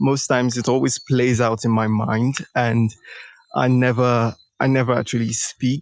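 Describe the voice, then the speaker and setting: This man speaks with a Nigerian accent at a medium pitch. His intonation is flat and monotone, and his loudness stays very even. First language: a Nigerian language, English second. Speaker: startup founder, coaching participant. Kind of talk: live coaching session. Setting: live audio stream. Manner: halting, many fillers.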